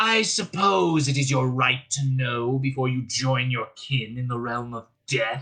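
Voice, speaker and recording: Using a growling, put-on character voice at medium pitch, a man talks at a fairly slow pace with hardly any pauses. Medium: read story. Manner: growling, menacing.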